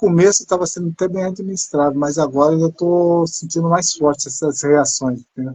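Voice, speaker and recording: This man speaks with hardly any pauses, in a fairly high pitch and a dark, mellow tone. His intonation stays fairly even. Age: 50s. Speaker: person living with multiple sclerosis. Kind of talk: casual chat.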